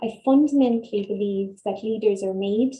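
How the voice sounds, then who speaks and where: A woman with an Irish accent speaks at a moderate pace in a fairly high, somewhat breathy voice with a dark, mellow tone and fairly even intonation. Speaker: dietitian and nutrition researcher. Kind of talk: webinar talk. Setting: online webinar. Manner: soft-spoken.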